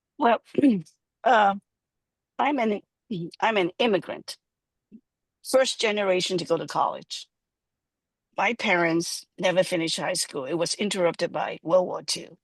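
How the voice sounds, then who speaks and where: Using long, frequent pauses, a woman with a slight Hong Kong accent speaks at a medium pitch with lively intonation, the sound dry and close with no echo. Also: moderate pace. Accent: slight Hong Kong Chinese. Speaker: urban planner. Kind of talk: panel discussion. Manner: halting.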